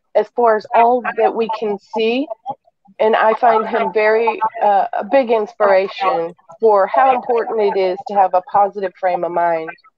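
A woman with an unremarkable speaking voice, a moderate pace and ordinary pitch variation, in a dry sound with no echo. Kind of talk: casual chat. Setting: video call. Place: home room. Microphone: video call.

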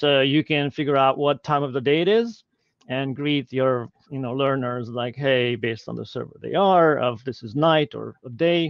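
Dry, echo-free sound with a Hungarian accent, ordinary pitch variation and a quiet background. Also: man, moderate pace. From Hungary. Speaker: e-learning technology leader; guest. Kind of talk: Q&A interview. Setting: live video stream. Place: home room. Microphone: video call.

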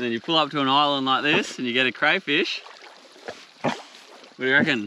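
Light background noise sits under a dry sound with no echo. A man speaks at a fairly quick pace. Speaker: outdoor vlogger. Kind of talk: casual vlog chat. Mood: relaxed, cheerful. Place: beach. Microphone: camera far.

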